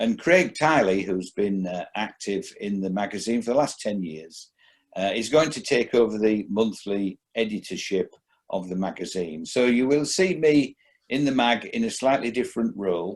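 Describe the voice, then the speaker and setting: At a moderate pace and medium pitch, a man speaks with lively intonation in a very clean recording with a silent background. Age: 60s. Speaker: magazine editor. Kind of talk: interview. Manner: halting.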